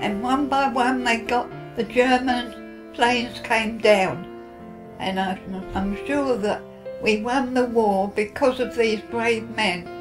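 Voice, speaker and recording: Over clear background music, a woman talks very slowly in a fairly high pitch with lively intonation. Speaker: WW2 veteran, former WAAF member. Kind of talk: interview answer, personal recollection. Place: home room.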